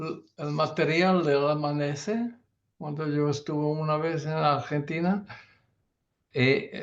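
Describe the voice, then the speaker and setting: With a non-native accent, a man speaks very slowly at a fairly high pitch, leaving long, frequent pauses. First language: not Spanish (speaking Spanish). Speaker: surgeon. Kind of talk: panel discussion. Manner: halting, many fillers and restarts.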